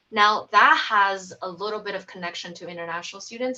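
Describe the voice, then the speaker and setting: At a moderate speed, a woman is talking. She has a non-native accent. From outside the US. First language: not English. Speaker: UX research manager. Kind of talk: panel discussion. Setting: video call.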